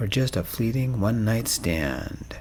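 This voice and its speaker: Soft-spoken and pitched at a medium level, a man talks with lively intonation. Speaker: audiobook narrator. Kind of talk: romance story narration.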